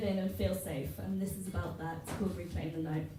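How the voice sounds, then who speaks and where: A woman talks at a fairly quick pace with noticeable noise behind her. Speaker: poet. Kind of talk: casual introduction to audience. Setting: live venue, audience.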